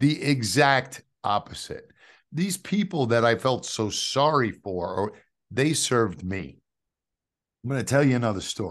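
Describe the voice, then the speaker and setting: Against a quiet background, a man with a New York accent talks at a fairly slow pace with lively intonation and long, frequent pauses. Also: medium pitch for a man. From New York City (Queens). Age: 50s. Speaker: testimony speaker, ministry founder. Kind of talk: testimony.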